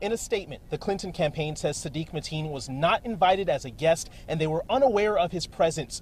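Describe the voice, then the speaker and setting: This man's voice sits high in pitch and shows ordinary pitch variation. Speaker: TV news reporter and anchor. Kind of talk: TV news reporter delivery, live and packaged stories. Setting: outdoors, on location at news scenes.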